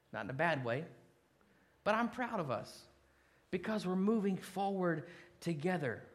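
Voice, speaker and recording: With long, frequent pauses and a moderate pace, a man speaks in a high voice with lively intonation, and the room echo is audible. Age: 40s. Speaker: pastor. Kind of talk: sermon.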